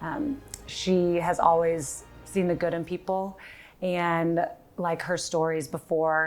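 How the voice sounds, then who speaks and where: A woman with an American accent, fairly low-pitched, at a very slow pace and with fairly even intonation. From Texas, Dallas. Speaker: granddaughter, league member. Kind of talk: tribute speech. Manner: halting.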